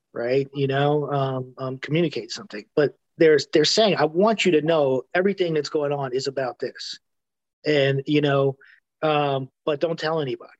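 Here a man has an ordinary speaking voice with an American accent, a fairly high pitch and ordinary pitch variation. He goes at a moderate pace in a dry, close sound with no echo. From New York City. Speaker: music journalist and author. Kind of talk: interview conversation. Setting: video call. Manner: filler-heavy, seeks agreement.

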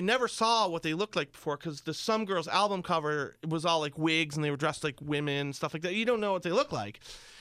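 In a very clean recording with a silent background, a man with an American accent speaks at a fairly high pitch, his tone bright and sharp and his intonation lively. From upstate New York, small town near Pennsylvania border. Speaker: radio broadcaster. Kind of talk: casual chat.

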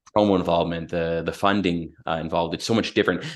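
A man's very deep, low voice with a Canadian accent, over a quiet background. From Canada, London, Ontario. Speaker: general manager of a juice company. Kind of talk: casual interview chat.

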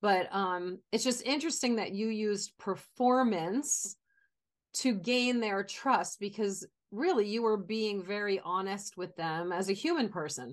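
A woman with a plain, everyday voice, medium pitch, lively intonation and a fairly slow pace. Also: quiet background. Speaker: podcast host and talent career coach. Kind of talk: interview.

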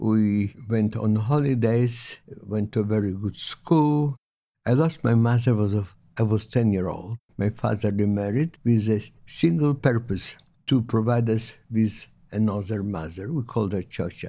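With an Eastern European accent, a man speaks fairly slowly in a fairly low pitch with a dark, mellow tone and ordinary pitch variation, on a very clean recording with a silent background. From Poland/Lithuania (Eastern Europe). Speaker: Holocaust survivor. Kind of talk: testimony. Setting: in-person interview at a museum. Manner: halting.

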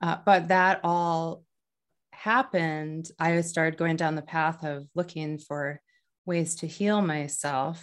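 In an American accent, a woman speaks at a very slow pace, her pitch fairly low and her intonation fairly even. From US Midwest, North Dakota. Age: 40s. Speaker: author and Reiki practitioner. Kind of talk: interview.

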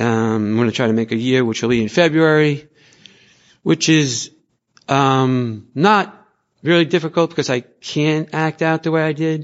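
Fairly high in pitch, this man's voice shows ordinary pitch variation. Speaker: twelve-step member. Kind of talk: testimony. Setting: convention meeting room. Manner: hesitant.

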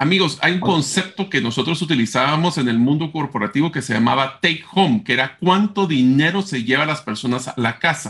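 Here is a man with an unremarkable speaking voice and lively intonation. He talks at a fairly quick pace with hardly any pauses. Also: fairly high pitch for a man. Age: 40s. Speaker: podcast co-host. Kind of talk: casual chat.

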